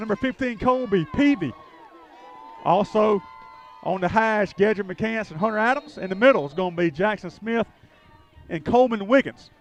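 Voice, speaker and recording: Against noticeable background noise, a man with a high pitch talks at a fairly quick pace with ordinary pitch variation and long, frequent pauses. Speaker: play-by-play announcer. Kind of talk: live commentary.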